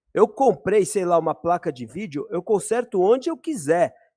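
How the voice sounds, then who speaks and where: Heard dry and close with no echo, a man with a high pitch talks at a moderate pace through very wide pitch swings. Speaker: live stream host, electronics repair. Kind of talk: online debate. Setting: live stream. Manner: halting.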